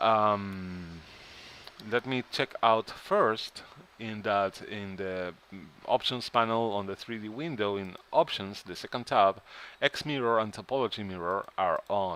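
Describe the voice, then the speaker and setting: A man's bright, sharp voice, fairly low in pitch, with ordinary pitch variation, a fairly slow pace and a non-native accent. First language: not English. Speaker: 3D modeling tutorial creator. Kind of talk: tutorial. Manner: halting.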